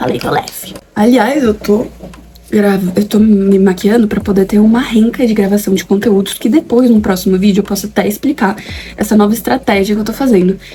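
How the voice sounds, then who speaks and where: A woman speaks at a fairly quick pace and medium pitch with ordinary pitch variation. Background noise is noticeable. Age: 20s. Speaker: YouTuber, aspiring actress. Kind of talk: casual vlog chat while doing makeup. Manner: animated, informal.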